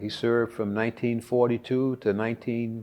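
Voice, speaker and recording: A man talks with a Texan accent. His voice sits at a medium pitch. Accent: Texan Southern US. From Texas (Conroe). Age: 70s. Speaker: war veteran. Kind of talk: interview testimony. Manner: halting with frequent fillers.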